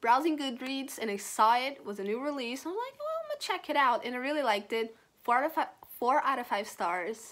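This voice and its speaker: Here a woman speaks with a non-native accent at a fairly quick pace. Her pitch is high and her intonation lively. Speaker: book reviewer. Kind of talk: casual talk to camera.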